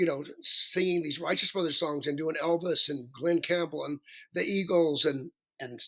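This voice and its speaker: A man with a Southern US accent, a high pitch, a bright, sharp tone, a moderate pace and fairly even intonation. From US South (Alabama). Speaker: professional singer. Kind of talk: interview.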